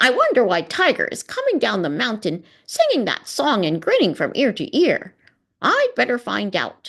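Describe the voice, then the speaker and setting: In a put-on character voice, the speaker talks at a moderate pace with a fairly high pitch. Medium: read story. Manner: chirpy, sly.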